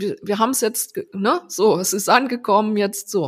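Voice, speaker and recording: Delivered at a fairly slow pace, an ordinary speaking voice moves with ordinary pitch variation. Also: woman. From Rhineland-Palatinate, Germany (Landau). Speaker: designer and agency founder. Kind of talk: casual interview. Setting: remote call.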